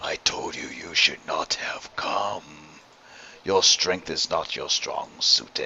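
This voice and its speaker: A man uses a put-on character voice that growls with a menacing tone. He speaks at a fairly slow pace. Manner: dark, menacing.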